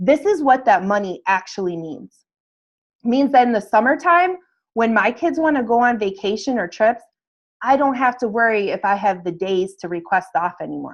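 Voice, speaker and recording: An ordinary speaking voice moves at a moderate pace with lively intonation against a quiet background. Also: woman, fairly high pitch for a woman. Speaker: fitness business coach. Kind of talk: webinar sales presentation. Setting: video call webinar.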